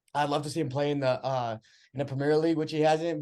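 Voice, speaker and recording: This man has a plain, everyday voice and an American accent, pitched fairly high. His intonation is fairly even, and the background is quiet. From Texas, US (Brazilian family). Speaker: podcast guest, social media director. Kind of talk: casual chat.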